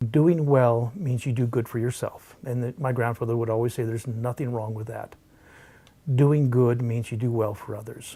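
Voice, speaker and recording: At a moderate pace, a man speaks with a medium pitch, a dark, mellow tone, fairly even intonation and a somewhat breathy quality. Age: 60s. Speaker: wildlife rescuer and falconer. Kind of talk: interview answer.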